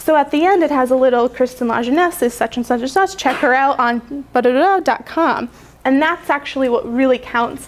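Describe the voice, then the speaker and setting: A woman speaks at a high pitch with ordinary pitch variation. Noticeable background noise runs behind her. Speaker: conference speaker on marketing. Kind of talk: conference presentation. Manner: fast.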